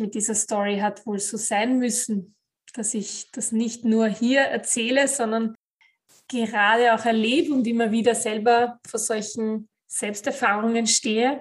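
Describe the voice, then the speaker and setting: Against a quiet background, a woman with a fairly high pitch speaks at a fairly slow pace in a somewhat breathy, monotone voice with flat intonation. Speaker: podcast host, life coach. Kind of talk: motivational monologue.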